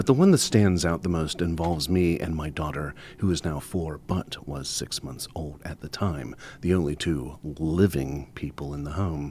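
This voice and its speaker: This voice has a dark, mellow tone, ordinary pitch variation and a moderate pace. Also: man, very deep, low pitch for a man. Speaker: storyteller. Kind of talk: ghost story reading on radio. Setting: radio studio.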